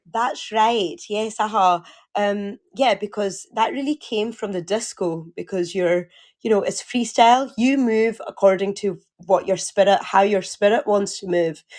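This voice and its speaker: A speaker with a Glasgow accent talks at a fairly slow pace with ordinary pitch variation. The recording is very clean, with a silent background. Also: woman, medium pitch for a woman. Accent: Scottish, Glasgow. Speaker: occupational therapist and community founder. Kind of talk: interview. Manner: loud; energetic.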